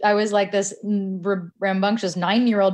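This is an ordinary speaking voice from a woman with a Canadian accent. She talks at a fairly quick pace in a medium pitch. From Canada. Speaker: podcast producer. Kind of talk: interview.

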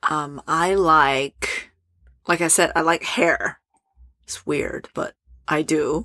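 A fairly low-pitched woman's voice, very slow and fairly even in intonation, with long, frequent pauses on a very clean recording against a silent background. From Asia and Europe. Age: 30s. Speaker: entrepreneur. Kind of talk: casual chat.

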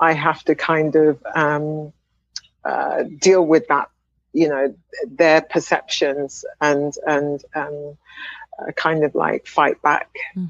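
With a southern English accent, the speaker talks at a very slow pace in monotone, flat intonation, with a dry, close sound and no echo. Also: woman, very deep, low pitch for a woman. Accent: British English (southern England). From England, Wimbledon (London). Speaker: speech language pathologist and professor. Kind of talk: interview. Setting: video call.

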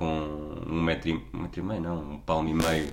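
Audible room echo follows a man whose voice is very deep and low in pitch. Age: 30s. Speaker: podcast co-host. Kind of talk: casual chat.

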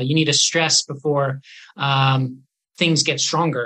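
A man with a Canadian accent and a plain, everyday voice speaks at a fairly high pitch with ordinary pitch variation. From Canada, northern British Columbia. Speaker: neurologist. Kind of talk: interview.

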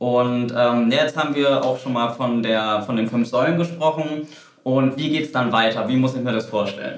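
A man speaks with fairly even intonation while noticeable background noise is present. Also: medium pitch for a man, moderate pace. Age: 30s. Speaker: golf coach. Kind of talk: interview. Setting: studio.

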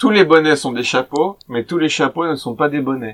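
A man speaks at a fairly high pitch with ordinary pitch variation. It is an unremarkable speaking voice. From French Alps. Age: 30s. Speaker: podcast host for French learners. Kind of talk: casual chat. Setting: livestream from a cellar.

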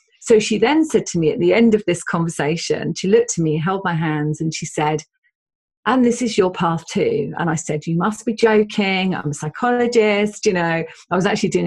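Speaking with an English accent, a woman talks at a fairly quick pace. Her voice is fairly low and somewhat breathy, with ordinary pitch variation. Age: 50s. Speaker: spiritual medium and psychotherapist. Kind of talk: interview conversation.

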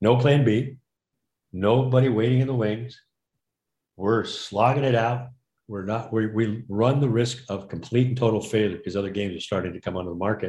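Somewhat breathy, a man speaks at a medium pitch with a dark, mellow tone and fairly even intonation. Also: fairly quick pace. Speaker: board game inventor. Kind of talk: interview.

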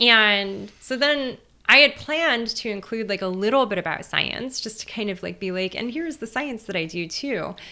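In a Californian accent, the speaker keeps a moderate pace with lively intonation. The recording is very clean, with a silent background. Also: woman. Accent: Californian American. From US West Coast, East Los Angeles. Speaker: theoretical physicist and author. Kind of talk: interview conversation.

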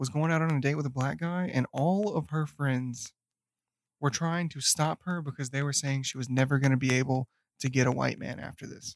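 In a dry, close sound with no echo, a man speaks with a Southern US accent. He has a fairly high pitch and ordinary pitch variation. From US South; Memphis, Tennessee. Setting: recording in the same room.

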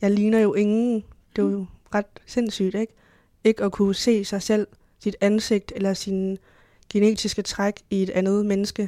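In a very clean recording with a silent background and a dry, close sound with no echo, a woman speaks fairly slowly at a medium pitch, her dark, mellow tone held to a monotone, flat intonation and broken by long, frequent pauses. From Denmark. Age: 20s. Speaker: history student, adoptee. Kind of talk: interview. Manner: hesitant, many filler sounds.

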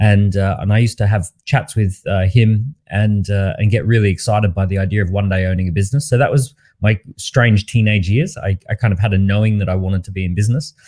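With an Australian accent, a man rattles along at a very fast pace with hardly any pauses, his voice fairly low with ordinary variation, somewhat breathy, dark and mellow in tone, and dry and close with no echo. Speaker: entrepreneur and author. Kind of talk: interview. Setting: online live interview.

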